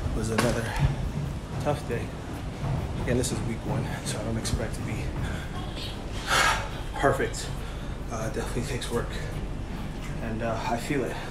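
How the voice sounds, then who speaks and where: A man at a moderate pace, with long, frequent pauses, over loud background noise. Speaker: fitness vlogger. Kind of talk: casual vlog chat. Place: gym. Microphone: phone near.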